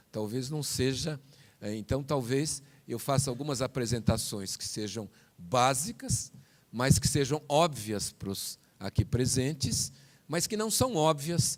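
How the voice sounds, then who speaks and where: A man talks at a fairly slow pace and medium pitch. His pitch varies in an ordinary way. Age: 60s. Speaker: physician and professor. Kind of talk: panel talk. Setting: conference hall with audience. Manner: halting.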